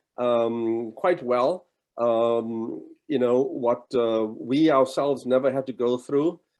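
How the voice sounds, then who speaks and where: The man talks at a very slow pace in a medium pitch. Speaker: college provost. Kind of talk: welcome address. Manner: halting, many fillers.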